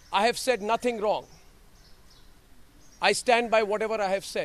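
A man with a high voice talks at a moderate pace and a fairly even intonation, the sound dry with no echo. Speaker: news anchor giving press statement. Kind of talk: press statement to reporters. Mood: firm, defiant. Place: street. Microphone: handheld.

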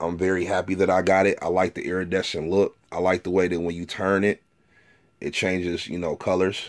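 Over a quiet background, a man with a very deep, low pitch speaks at a fairly quick pace in a monotone, flat intonation. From Detroit, Michigan. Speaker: sneaker collector and reseller, YouTuber. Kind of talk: casual product review video. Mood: relaxed, pleased. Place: home room. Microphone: phone near.

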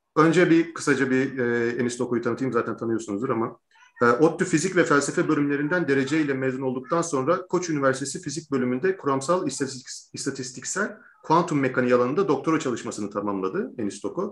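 The delivery moves at a very fast pace. Its intonation is lively. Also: man. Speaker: interview host. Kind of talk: interview introduction and lecture-style explanation. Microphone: video call.

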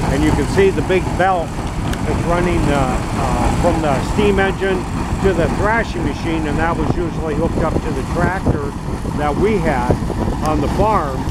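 Loud background noise surrounds a man with an American accent, and the sound is dry with no echo. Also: moderate pace. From northeast Iowa, USA. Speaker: former farm boy recalling threshing. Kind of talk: unrehearsed interview answer. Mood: fond, nostalgic. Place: farm machine. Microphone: phone near.

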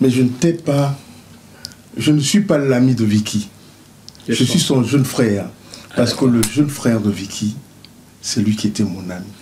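Over light background noise, a man talks at medium pitch and a moderate pace, with lively intonation and long, frequent pauses. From Cameroon, Douala. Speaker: bassist. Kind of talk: interview. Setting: studio. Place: studio.

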